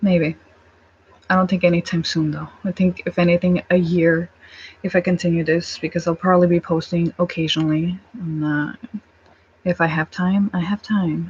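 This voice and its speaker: A woman speaks at a moderate pace in a fairly low, somewhat breathy voice. Her intonation is flat and monotone, and the sound is dry and close with no echo. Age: 20s. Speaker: vlogger. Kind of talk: casual chat. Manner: halting.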